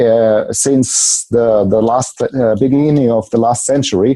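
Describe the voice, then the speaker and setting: A man's dark, mellow tone comes through as he talks fairly slowly. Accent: German. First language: German. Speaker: seminar leader and coach. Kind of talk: interview. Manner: halting.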